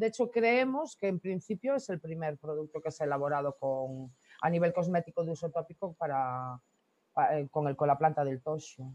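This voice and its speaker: A woman speaks at a moderate pace in a very deep, low voice with lively intonation, recorded dry and close with no echo. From Galicia, Costa da Morte (Corcubión). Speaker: product founder. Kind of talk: interview.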